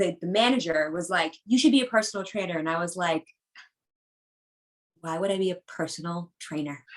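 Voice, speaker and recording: A woman with an American accent speaks at a fairly quick pace with ordinary pitch variation, leaving long, frequent pauses. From Boston area, US. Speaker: personal trainer. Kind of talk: casual chat.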